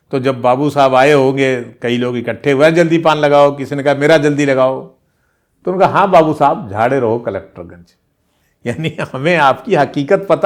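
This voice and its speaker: Very clean with a silent background, the recording captures a man with a plain, everyday voice, a fairly high pitch and lively intonation. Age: 60s. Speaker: veteran journalist, channel host. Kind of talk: casual storytelling monologue.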